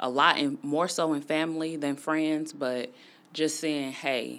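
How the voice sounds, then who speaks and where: At a fairly slow pace, a woman speaks in a very deep, low pitch. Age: 30s. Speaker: podcast host. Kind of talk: personal monologue. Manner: casual, conversational.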